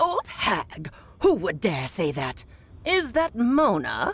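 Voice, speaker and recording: In a put-on character voice, the speaker uses a fairly high pitch and a very slow pace. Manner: indignant, defensive.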